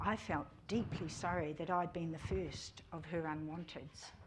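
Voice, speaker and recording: A woman with a New Zealand accent, fairly low pitch and vocal fry, amid audible room echo. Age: 60s. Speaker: church member giving testimony. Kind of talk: testimony. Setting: church service.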